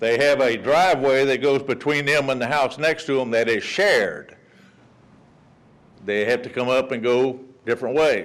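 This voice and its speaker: A man with a Texan accent, very even loudness, fairly even intonation, and long, frequent pauses. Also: medium pitch for a man, moderate pace. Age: 60s. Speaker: resident speaking at public comment. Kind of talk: public comment at council meeting. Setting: city council meeting. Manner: casual, folksy.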